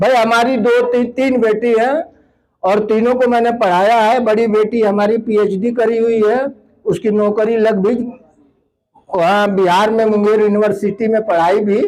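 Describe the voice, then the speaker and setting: The man's high voice keeps a fairly even intonation and a very even loudness throughout. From eastern Uttar Pradesh, Mau district. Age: 60s. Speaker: land donor for education, community speaker. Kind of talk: public speech.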